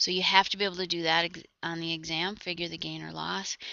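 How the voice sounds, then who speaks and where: With vocal fry and monotone, flat intonation, a woman talks at a fairly quick pace in a fairly low voice. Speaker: accounting instructor. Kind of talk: lecture. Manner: fast; hesitant, many fillers.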